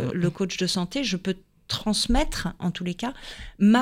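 A woman speaks in a normal speaking voice, medium in pitch, at a moderate pace with lively intonation. The recording is very clean, with a silent background. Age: 50s. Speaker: health coach and former ballet dancer. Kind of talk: radio interview.

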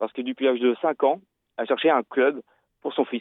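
This is a man speaking at a medium pitch. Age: 30s. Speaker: amputee football coach. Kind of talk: radio interview. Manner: halting.

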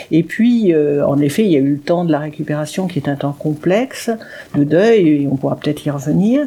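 At a moderate pace, a woman talks with a very deep, low pitch and lively intonation. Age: 60s. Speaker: writer and speaker with paraplegia. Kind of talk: radio interview. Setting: dark radio studio.

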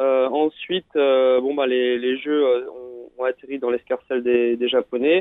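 Fairly even in intonation, the speech unfolds at a fairly slow pace. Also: man, medium pitch for a man. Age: 30s. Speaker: paratriathlete. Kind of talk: radio interview. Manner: halting, many fillers and repetitions.

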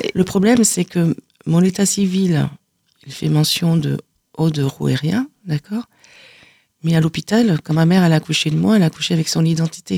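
A somewhat breathy woman speaks with long, frequent pauses. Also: ordinary pitch variation, moderate pace, dry, close sound with no echo. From southern France (Aude, Carcassonne area). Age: 50s. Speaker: author giving testimony. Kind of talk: radio interview testimony. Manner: halting, many repetitions.

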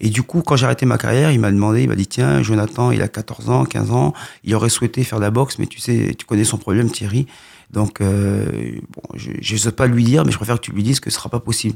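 On a very clean recording with a silent background, a man talks at a very fast pace, fairly low in pitch, with lively intonation. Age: 40s. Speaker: boxing coach. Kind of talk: radio interview.

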